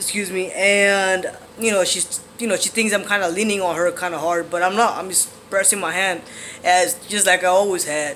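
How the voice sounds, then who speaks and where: Over noticeable background noise, a man with a high pitch projects a raised voice at a moderate pace in a monotone, flat intonation. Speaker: vlogger sharing transition updates. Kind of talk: casual vlog monologue. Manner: hesitant, many fillers.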